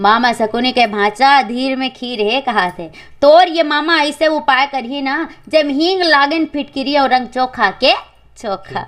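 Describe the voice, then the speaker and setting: High female voice, its intonation lively. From Chhattisgarh. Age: 20s. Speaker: folk singer and storyteller. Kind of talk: epic folk narration.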